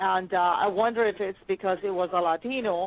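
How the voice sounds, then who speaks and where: A woman speaks with a slight Spanish accent. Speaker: podcast host. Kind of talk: interview. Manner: animated.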